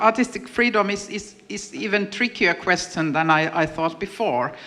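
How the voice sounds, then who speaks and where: Over noticeable background noise, a woman at a medium pitch talks at a fairly slow pace with very wide pitch swings. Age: 50s. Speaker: panel moderator, artist. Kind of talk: panel discussion. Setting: stage with audience.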